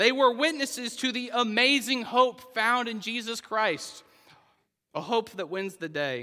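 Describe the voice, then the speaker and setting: A raised, projected voice with an American accent and a bright, sharp tone moves at a fairly slow pace with ordinary pitch variation. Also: man, extremely high pitch for a man. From Oklahoma. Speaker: pastor. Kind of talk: sermon.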